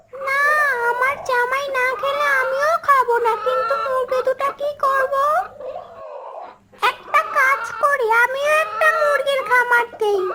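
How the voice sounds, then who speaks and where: A cartoonish character voice, female-sounding and extremely high-pitched, at a fairly slow pace over light background noise. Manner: greedy, scheming.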